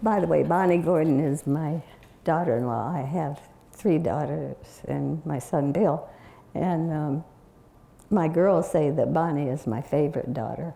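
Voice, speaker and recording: The voice has a dark, mellow tone, vocal fry and an American accent. It moves at a fairly slow pace with ordinary pitch variation. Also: woman, very deep, low pitch for a woman. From US Pacific Northwest (Oregon, Longview, Washington). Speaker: community elder, bishop's widow. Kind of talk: interview before an audience, storytelling. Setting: stage with audience. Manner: halting.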